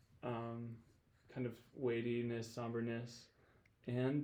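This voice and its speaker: A man's medium-pitched voice, dark and mellow in tone, with an American accent, at a very slow pace, with audible room echo. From Michigan, US Midwest. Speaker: worship leader. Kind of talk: casual chat. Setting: studio.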